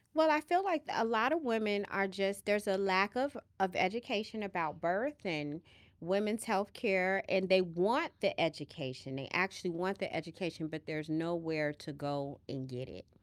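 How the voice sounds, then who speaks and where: Her voice sits at a medium pitch and swings very widely in pitch at a moderate pace. The woman's recording is very clean, with a silent background. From Chicago, US Midwest. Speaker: nurse midwife. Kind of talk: casual chat.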